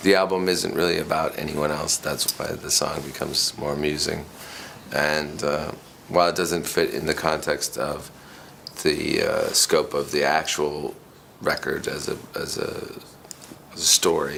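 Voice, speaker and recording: The speech unfolds at a fairly slow pace against noticeable background noise. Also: man. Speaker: rock musician. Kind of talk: interview answer.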